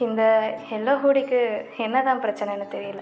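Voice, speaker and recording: Music plays behind a woman whose fairly high voice rises and falls in a normal way. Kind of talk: romantic audio story narration. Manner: hushed, soft-spoken.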